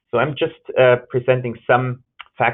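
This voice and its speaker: A man talks with a German accent. His pace is fairly slow. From Germany. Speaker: gerontology researcher and nurse. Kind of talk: webinar lecture. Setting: webinar.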